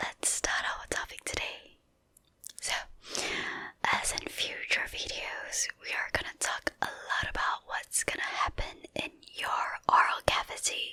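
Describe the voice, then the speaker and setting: At a very slow pace, a whisper comes through over noticeable background noise. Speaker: dentist. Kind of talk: ASMR educational talk. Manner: whispered.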